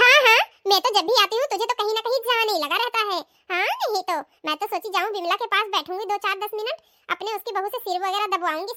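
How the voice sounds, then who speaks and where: A woman speaks in a squeaky, cartoonish character voice at an extremely high pitch. She goes at a very fast pace with ordinary pitch variation. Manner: bossy, gossipy.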